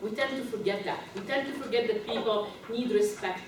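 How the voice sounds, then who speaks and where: Recorded with audible room echo and noticeable background noise, a woman with a non-native accent speaks at a fairly high pitch with ordinary pitch variation. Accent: foreign. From Egypt, raised in several countries. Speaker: leadership and diversity consultant. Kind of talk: live training workshop. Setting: conference room with audience.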